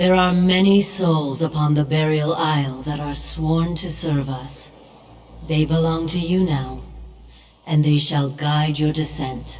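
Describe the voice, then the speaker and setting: Someone puts on a character voice, speaking at a middle pitch and a fairly slow pace. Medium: video game. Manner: solemn, authoritative.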